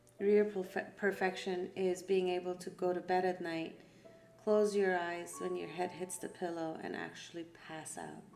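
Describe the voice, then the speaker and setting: Music plays in the background as a woman speaks at a medium pitch and moderate pace in a flat monotone. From Iran. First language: Persian. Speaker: art therapy facilitator. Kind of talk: guided art session talk.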